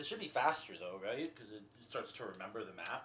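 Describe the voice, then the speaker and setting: Audible room echo surrounds a man talking at a fairly quick pace. His tone is bright and sharp, with lively intonation. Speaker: gaming streamer. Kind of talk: casual gameplay commentary. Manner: loud; casual.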